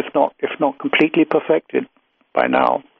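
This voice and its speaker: A man speaks at a moderate pace with a British accent. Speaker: UFO researcher and author. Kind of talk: interview conversation.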